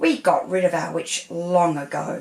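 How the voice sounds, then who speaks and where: At a moderate pace, a raspy, female-sounding put-on character voice speaks at a middle pitch. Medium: read story.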